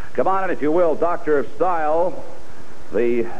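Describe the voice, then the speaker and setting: A man talks with ordinary pitch variation. Light background noise can be heard. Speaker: TV interviewer and announcer. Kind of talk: wrestling promo hosting. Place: studio. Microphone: handheld.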